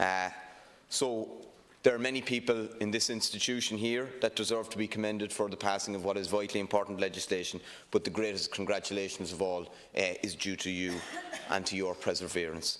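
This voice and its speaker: A man speaks with a Cork accent at a fairly quick pace. His intonation stays fairly even over a quiet background. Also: fairly low pitch for a man. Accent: Irish (Cork). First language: Irish. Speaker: politician. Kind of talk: parliamentary speech. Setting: parliament chamber. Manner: hesitant, many fillers.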